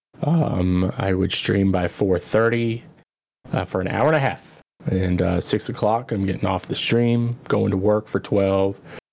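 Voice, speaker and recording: A man in an unremarkable speaking voice, fairly low in pitch with ordinary pitch variation, at a fairly slow pace and very even loudness. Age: 30s. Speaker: former streamer. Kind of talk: casual chat.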